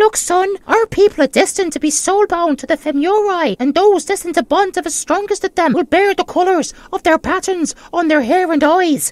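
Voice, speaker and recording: A put-on character voice pitched extremely high. It moves at a fairly quick pace with hardly any pauses. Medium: audio drama.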